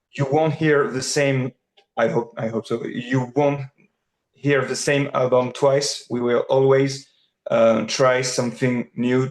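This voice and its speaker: Speaking very slowly, a man with a French accent keeps his intonation fairly even. His pitch is medium. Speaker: rock singer and bassist. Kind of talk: interview.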